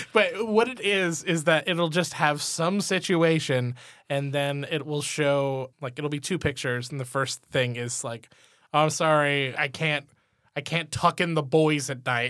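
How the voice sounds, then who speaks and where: On a very clean recording with a silent background, a man speaks fairly slowly in a plain, everyday voice with a fairly high pitch. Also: ordinary pitch variation. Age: 30s. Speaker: teacher, podcast co-host. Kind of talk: casual chat.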